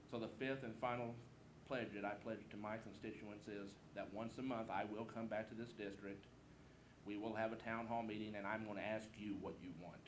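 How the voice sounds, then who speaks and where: Over noticeable background noise and audible room echo, a man with an American accent and a fairly low pitch speaks at a moderate pace in a flat monotone, with long, frequent pauses. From Southeast Missouri. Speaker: political candidate. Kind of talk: campaign speech. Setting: candidate forum with audience. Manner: informal, folksy.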